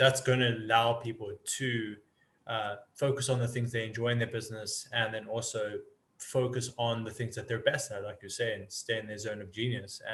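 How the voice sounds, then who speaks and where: With a South African accent, a man speaks at a fairly quick pace. His intonation is monotone and flat. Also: medium pitch for a man. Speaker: business automation consultant. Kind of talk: podcast interview.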